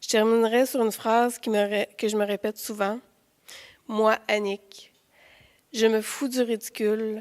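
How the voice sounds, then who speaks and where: Fairly slow and broken by long, frequent pauses, a woman's fairly high voice stays in a monotone, flat intonation in a very clean recording with a silent background. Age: 40s. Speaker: nurse sharing mental health story. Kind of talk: testimony.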